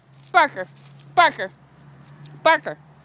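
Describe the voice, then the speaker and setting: At a moderate pace, a woman speaks in a raised, projected voice with a high pitch. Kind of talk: casual talk to pets while filming. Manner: playful, affectionate.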